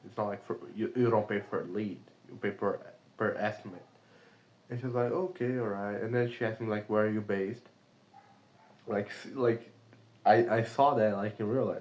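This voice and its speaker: Here a man speaks at a fairly low pitch with a Brazilian accent. His pace is moderate and his pitch variation is ordinary. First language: Portuguese. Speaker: remote sales caller, video diarist. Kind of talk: casual vlog monologue. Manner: hesitant, many fillers.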